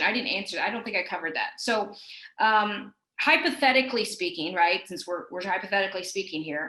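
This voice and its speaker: A woman's voice of medium pitch with a bright, sharp tone. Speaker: compliance director, webinar speaker. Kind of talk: webinar presentation. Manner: hesitant fillers.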